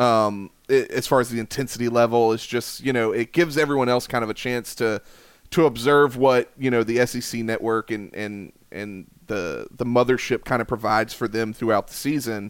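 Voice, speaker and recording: Recorded very cleanly against a silent background, a man with an American accent speaks at a medium pitch and moderate pace, with fairly even intonation, hardly any pauses and a normal speaking voice. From South Carolina. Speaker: college baseball analyst. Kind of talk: casual chat.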